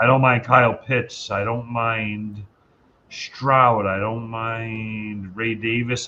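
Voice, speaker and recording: A man speaks with a Northeast US accent at a medium pitch. His intonation is flat and monotone. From Rhode Island (Johnston), US Northeast. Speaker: fantasy football player, contest winner. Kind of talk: casual chat. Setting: live stream.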